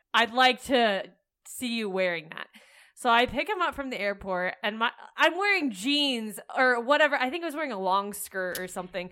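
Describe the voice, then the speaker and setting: This very clean recording with a silent background carries a bright, sharp tone and lively intonation. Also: woman. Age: young. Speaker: podcast co-host. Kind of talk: casual chat.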